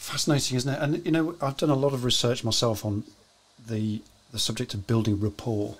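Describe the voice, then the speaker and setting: At a fairly quick pace, a man with a British accent speaks in a somewhat breathy voice with ordinary pitch variation. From UK. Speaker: live show host. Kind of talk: casual interview. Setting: live stream. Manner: chatty. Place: home room.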